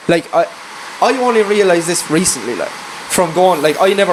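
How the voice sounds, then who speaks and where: High-pitched man with a rural Irish accent, very fast pace, ordinary pitch variation, noticeable background noise. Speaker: farm worker and singer-songwriter. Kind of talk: casual chat. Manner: animated.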